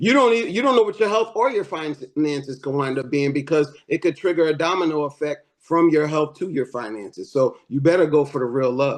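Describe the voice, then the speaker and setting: An ordinary speaking voice with lively intonation, a fairly quick pace and hardly any pauses. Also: man, fairly high pitch for a man. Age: 50s. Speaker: panelist. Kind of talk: casual panel discussion.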